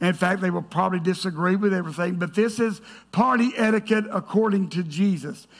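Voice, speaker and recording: Speaking loudly at a fairly quick pace, a man uses a high voice with ordinary pitch variation. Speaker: pastor. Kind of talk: sermon. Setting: church. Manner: animated.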